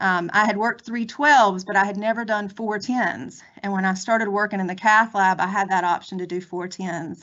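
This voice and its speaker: With a North Carolina accent, a woman speaks using fairly even intonation. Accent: North Carolina Southern. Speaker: federal law enforcement agent, former nurse. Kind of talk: career presentation.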